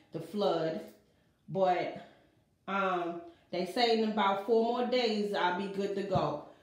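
With audible room echo around her, a woman talks at a fairly slow pace in fairly even intonation. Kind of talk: casual vlog chat. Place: bathroom. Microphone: phone near.

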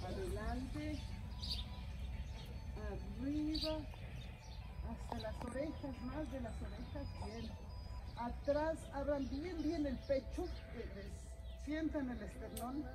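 A woman talks at a very slow pace, leaving long, frequent pauses, amid noticeable background noise. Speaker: qigong instructor. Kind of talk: exercise class instruction. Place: street. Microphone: camera far.

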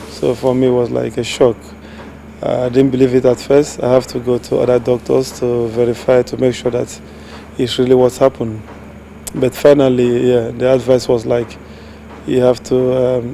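A man's monotone, flat delivery at a moderate pace, with long, frequent pauses, a dry sound with no echo and light background noise. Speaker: interviewee. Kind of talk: interview answer. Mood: reflective, calm. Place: studio.

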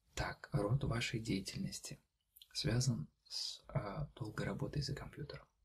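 Somewhat breathy, a man talks at a very slow pace. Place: home room.

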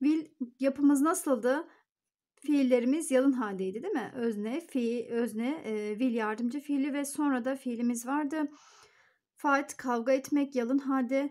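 Against a quiet background, a woman with a high voice speaks at a fairly slow pace with ordinary pitch variation. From Turkey. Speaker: English teacher. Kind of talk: tutorial. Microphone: phone near.

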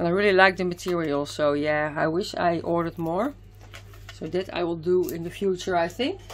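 A woman with a fairly low voice speaks at a fairly quick pace. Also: ordinary pitch variation. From Netherlands. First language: Dutch. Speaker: craft youtuber. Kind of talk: product haul video. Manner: hesitant, many fillers. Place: home room.

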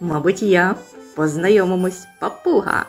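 Over faint music in the background, a woman in a put-on character voice sounds creaky and raspy at a medium pitch and a moderate pace. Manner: giggling, cheerful.

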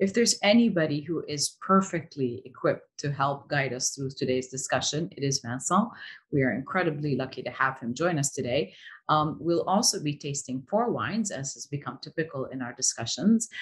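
A woman's very deep, low, somewhat breathy voice, fairly quick with lively intonation, against a quiet background. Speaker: interview series host. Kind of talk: host introduction. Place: home room. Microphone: webcam.

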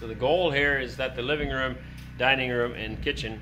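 The speaker talks very fast over loud background noise. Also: man. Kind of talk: casual vlog chat. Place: home room. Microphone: phone near.

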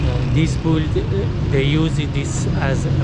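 Speech comes at a very slow pace over loud background noise. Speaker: walking tour narrator. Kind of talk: casual vlog chat. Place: street. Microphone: phone near.

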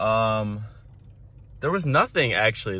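A man talks at a moderate pace with ordinary pitch variation, the sound dry with no echo. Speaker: student vlogger. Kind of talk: casual vlog chat. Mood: relieved, amused. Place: car. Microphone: phone near.

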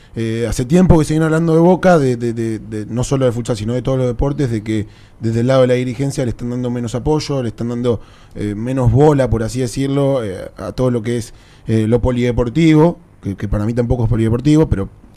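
The speech comes in a Rioplatense accent at a very fast pace. Pitch variation is ordinary. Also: man, medium pitch for a man. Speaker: sports show host. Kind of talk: interview.

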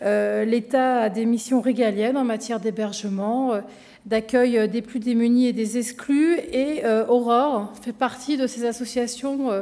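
At a very slow pace, a woman speaks high in pitch with fairly even intonation. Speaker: government minister giving a speech. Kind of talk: formal public speech. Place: hall. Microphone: podium.

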